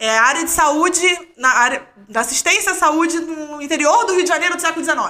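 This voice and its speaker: A woman speaks in a raised, projected voice at an extremely high pitch. Her tone is bright and sharp, with ordinary pitch variation. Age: 30s. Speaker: doctoral student in history of science. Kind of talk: casual chat.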